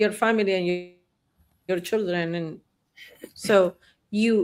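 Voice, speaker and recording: A woman with a Spanish accent, medium in pitch, fairly even in intonation and fairly slow in pace. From Argentina, Buenos Aires. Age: 60s. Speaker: therapist. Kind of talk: interview chat.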